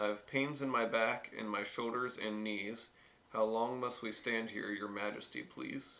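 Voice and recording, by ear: Someone is reading aloud in a natural voice. The delivery is simply read text.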